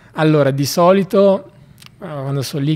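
Moderate pace with ordinary pitch variation. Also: man. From northern Italy, Valsassina (Lecco, Lombardy); Lombardy, Italy. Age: 20s. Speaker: bicycle traveller; podcast guest. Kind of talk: casual interview. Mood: relaxed, cheerful. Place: studio. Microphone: studio mic.

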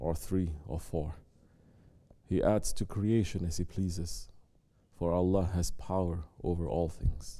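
Against a quiet background, a man speaks fairly slowly in a very deep, low voice with a dark, mellow tone and fairly even intonation. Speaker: preacher. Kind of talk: sermon. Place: church.

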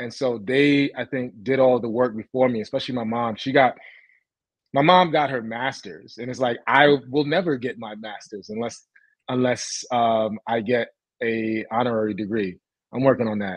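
With a New York accent, a man speaks at a moderate pace in a dry sound with no echo over a quiet background. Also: ordinary pitch variation. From Brooklyn, New York. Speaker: tech founder; guest. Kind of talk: interview. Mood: upbeat, reflective. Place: home room. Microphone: video call.

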